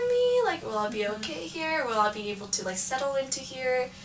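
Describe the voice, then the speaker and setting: A woman's lively intonation carries at a moderate pace through noticeable background noise. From California, East Bay. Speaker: college student. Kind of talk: casual chat.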